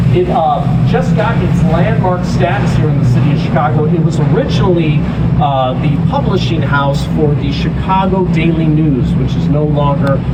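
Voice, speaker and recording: The voice holds very even loudness and fairly even intonation at a moderate pace. Noticeable background noise and audible room echo are present. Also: man, fairly high pitch for a man. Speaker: tour guide. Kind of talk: guided tour narration. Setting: outdoors on a tour boat. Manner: stumbling over words.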